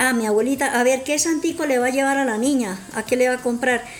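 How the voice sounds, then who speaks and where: A woman's high voice at a moderate pace with ordinary pitch variation, over noticeable background noise. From Colombia, Santander. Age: old. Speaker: grandmother guest. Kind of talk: personal testimony.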